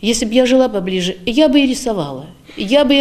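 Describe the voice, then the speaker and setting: This is a woman speaking. Her pitch swings very widely. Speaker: pensioner, ensemble singer; interviewee. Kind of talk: interview. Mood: warm, upbeat, slightly wistful. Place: hall.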